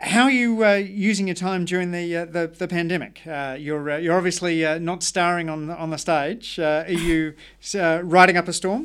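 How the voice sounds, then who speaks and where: With an Australian accent, a man speaks at a high pitch and a moderate pace, with fairly even intonation and hardly any pauses. The recording is very clean, with a silent background. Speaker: podcast host. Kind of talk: interview conversation. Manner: halting with many uh fillers.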